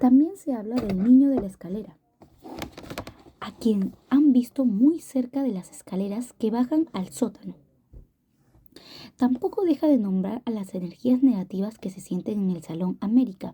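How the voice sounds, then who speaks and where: A moderate pace broken by long, frequent pauses. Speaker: ASMR book-reading youtuber. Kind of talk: reading aloud. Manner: halting.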